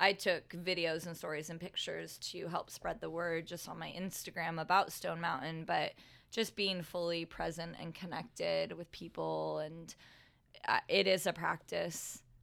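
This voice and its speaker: A woman at a moderate pace with big swings in loudness, on a very clean recording with a silent background. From southern California (moved from Connecticut in 4th grade). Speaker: yoga instructor and entrepreneur. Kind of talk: casual interview.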